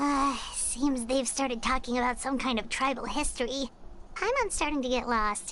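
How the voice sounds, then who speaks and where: A put-on character voice that sounds female, pitched high for a woman, runs at a moderate pace over clear background noise. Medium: video game.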